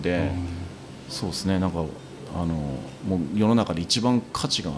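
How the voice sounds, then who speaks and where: A man talks amid noticeable background noise, his voice carrying audible room echo. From Japan, Tohoku (Miyagi Prefecture, Marumori). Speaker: design company president and university lecturer. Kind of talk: casual chat over drinks.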